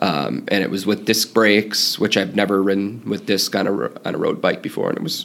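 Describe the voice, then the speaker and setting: A man talks rather briskly, with clear background noise behind him. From US Midwest. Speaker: cycling fan and traveler. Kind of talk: casual interview.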